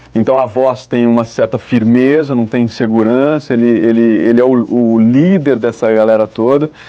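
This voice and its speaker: Over music in the background, the speaker talks at a fairly slow pace with fairly even intonation. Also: man. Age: 20s. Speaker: voice actor. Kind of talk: interview. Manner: halting.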